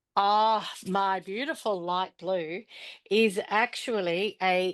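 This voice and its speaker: A woman's medium-pitched voice in an Australian accent, with ordinary pitch variation, over a quiet background. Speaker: pastel artist demonstrator. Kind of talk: live art demonstration. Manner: casual, chatty.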